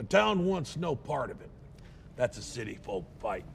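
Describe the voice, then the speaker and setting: A man's raspy, put-on character voice at medium pitch and moderate pace, with clear background noise. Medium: short film. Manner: blunt.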